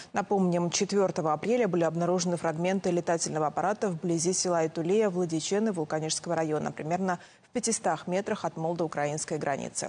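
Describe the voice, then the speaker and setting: A woman with a dark, mellow tone speaks at a fairly quick pace with fairly even intonation and very even loudness. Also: fairly low pitch for a woman. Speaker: news anchor. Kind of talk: news reading. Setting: studio. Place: studio. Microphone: lapel.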